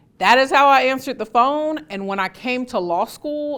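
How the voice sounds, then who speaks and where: A loud woman speaks at a moderate pace with a bright, sharp tone and lively intonation. The recording is very clean with a silent background. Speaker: trial lawyer and advocacy teacher. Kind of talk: instructional talk.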